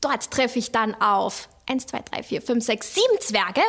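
A woman does a put-on character voice with a fairly high pitch, a fairly bright tone, a slightly husky edge and big pitch swings. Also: fairly slow pace.

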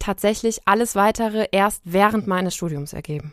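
Recorded very cleanly with a silent background and a dry, close sound with no echo, a woman speaks at a moderate pace and medium pitch with ordinary pitch variation. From Germany, Siegen. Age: 30s. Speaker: freelance journalist. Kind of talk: interview.

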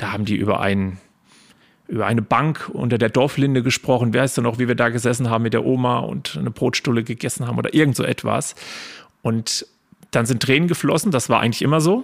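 A man talks at a very fast pace and medium pitch. His pitch variation is ordinary, with vocal fry. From Spessart, Lower Franconia/Hesse border region, Germany. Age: 30s. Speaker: local history guide and business owner. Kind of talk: podcast interview.

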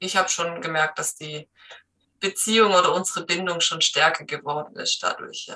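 The woman's voice is fairly low in pitch. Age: 30s. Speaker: trainee dog trainer, dog owner. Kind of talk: interview. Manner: hesitant, many filler sounds.

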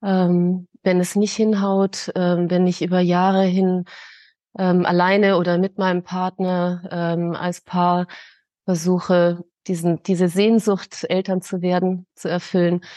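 A woman talks at a very slow pace in a dark, mellow tone with monotone, flat intonation. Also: medium pitch for a woman, dry, close sound with no echo, quiet background. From Munich, Bavaria. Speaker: grief counsellor. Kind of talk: interview. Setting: podcast.

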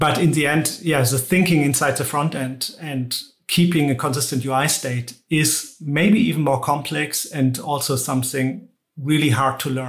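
A man in a German accent speaks at a moderate pace, somewhat breathy, with a fairly high pitch and ordinary pitch variation. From Germany. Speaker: tech executive. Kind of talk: interview.

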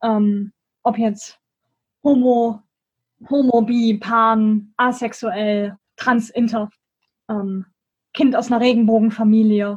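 The speaker goes very slowly in a somewhat breathy, monotone, flat voice, with long, frequent pauses. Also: woman, fairly high pitch for a woman. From Germany, Bonn. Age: 20s. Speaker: student and school education volunteer. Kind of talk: interview.

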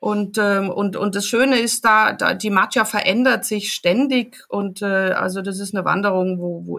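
With ordinary pitch variation, the woman talks at a moderate pace. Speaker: travel journalist and photographer. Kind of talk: casual interview. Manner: halting, many fillers.

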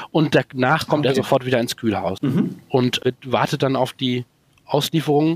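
Dry and close with no echo, the recording captures a man with a fairly high pitch. He speaks at a moderate pace with ordinary pitch variation. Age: 40s. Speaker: organic asparagus farmer. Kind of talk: interview. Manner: halting.

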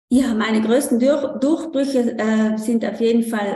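A woman speaks with a high voice. Her pace is moderate. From South Tyrol, Italy. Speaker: coach for mothers. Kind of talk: interview. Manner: halting, many fillers.

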